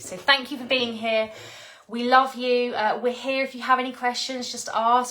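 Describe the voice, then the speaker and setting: Against noticeable background noise, a woman with a warm tone and fairly high pitch talks at a moderate pace. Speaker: spiritual teacher. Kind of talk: live stream talk. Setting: live video stream. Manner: stuttering a bit; warm, effusive.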